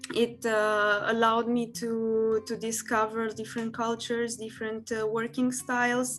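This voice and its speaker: Monotone, flat speech in a Romanian accent, with music in the background. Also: woman, fairly high pitch for a woman, moderate pace, hardly any pauses. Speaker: workshop speaker. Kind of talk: online workshop presentation. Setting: online event. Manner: halting, many fillers.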